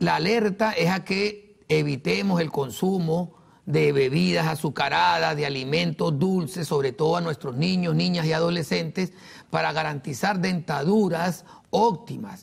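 A man speaks at a fairly slow pace, fairly high in pitch, with ordinary pitch variation. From Venezuela. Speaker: dentist and professional association leader. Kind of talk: TV interview. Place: studio. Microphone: lapel.

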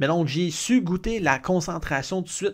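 A man at a moderate pace, with ordinary pitch variation, against a quiet background. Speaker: runner vlogger. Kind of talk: casual vlog chat. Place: home room. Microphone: studio mic.

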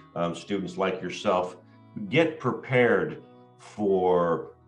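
A man's very deep, low voice at a very slow pace, with faint music in the background. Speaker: school host. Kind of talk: interview talk to a guest. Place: home room. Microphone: video call.

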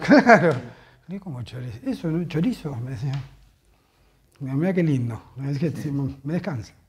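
A man talks at a fairly slow pace with long, frequent pauses, lively intonation and a fairly high pitch. His voice is somewhat breathy, over light background noise. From Argentina, Buenos Aires. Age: 40s. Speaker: football fan; interviewee. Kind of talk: interview testimony; interview answer. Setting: at home. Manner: halting. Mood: serious, recounting events. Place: home room. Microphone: lapel.

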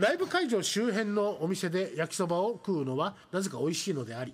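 Over light background noise, a man's pitch swings very widely. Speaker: live streaming radio host. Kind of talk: casual chat. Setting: live stream. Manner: talkative, chatty. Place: studio. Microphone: studio mic.

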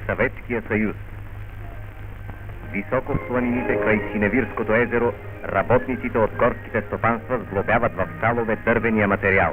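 Over music in the background, a man at fairly low pitch speaks in a monotone, flat intonation with very even loudness. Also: moderate pace. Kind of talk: newsreel narration.

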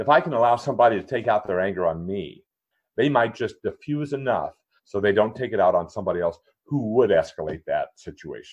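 A normal speaking voice from a man with an American accent, medium pitch, lively intonation and a fairly quick pace. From Minnesota. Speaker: author and kindness advocate. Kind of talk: casual interview chat.

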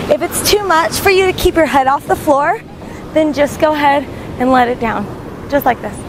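At a moderate pace, a woman with a high pitch speaks with ordinary pitch variation, the sound dry with no echo and noticeable noise behind her. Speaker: fitness instructor. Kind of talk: workout instruction. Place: beach. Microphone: lapel.

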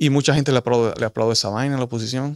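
In a Dominican accent, a man speaks with ordinary pitch variation, the sound dry with no echo and the background quiet. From Dominican Republic. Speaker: political commentator. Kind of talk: opinion monologue. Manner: animated. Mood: indignant, critical. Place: studio. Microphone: studio mic.

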